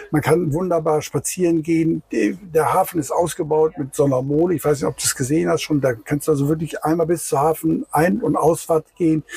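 Recorded with a dry, close sound and no echo, a man talks at a moderate pace and fairly high pitch with ordinary pitch variation. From Rhineland, Germany. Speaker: beach tourist train driver. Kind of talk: casual interview. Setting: outdoors, in the tourist train.

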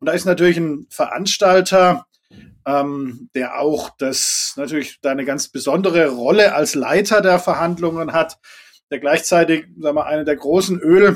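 With a Swabian accent, a man speaks in a high pitch. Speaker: environmental foundation executive, former politician. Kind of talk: interview.

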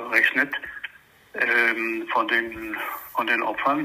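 A man speaks very slowly as noticeable background noise carries on behind him. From Israel, Jerusalem. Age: 70s. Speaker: historian and journalist. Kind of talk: interview. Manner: halting, many fillers.

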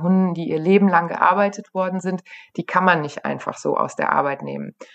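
With vocal fry and fairly even intonation, a woman talks at a fairly low pitch. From western Germany, Aachen area. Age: 30s. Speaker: rescue dog handler and trainer. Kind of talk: interview.

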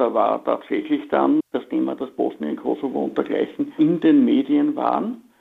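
Hardly any pauses break this man's speech. His pace is moderate. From Austria. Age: 50s. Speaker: finance executive. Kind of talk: interview.

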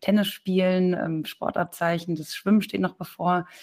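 A woman talks at a moderate pace with a fairly low pitch and monotone, flat intonation. The recording is very clean, with a silent background. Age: young. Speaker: podcast co-host, handball player. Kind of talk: podcast interview.

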